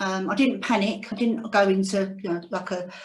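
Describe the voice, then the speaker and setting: A woman at a medium pitch speaks in a somewhat breathy voice. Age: 60s. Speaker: cancer survivor. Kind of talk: testimony. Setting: video call. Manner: reading from notes.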